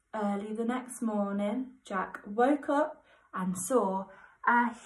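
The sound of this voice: An unforced voice reads with ordinary rises and falls in pitch.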